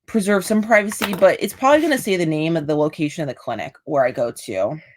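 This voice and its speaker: A woman's very fast, medium-pitched voice with an American accent and very wide pitch swings. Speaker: military veteran and video creator. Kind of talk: live stream monologue. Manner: casual, informal.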